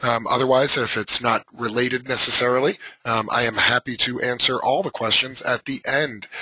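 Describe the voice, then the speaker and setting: Amid noticeable background noise, a man speaks at medium pitch and a moderate pace with fairly even intonation. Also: dry, close sound with no echo. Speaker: software trainer. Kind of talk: webinar tutorial. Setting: live webinar call. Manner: hesitant with many fillers.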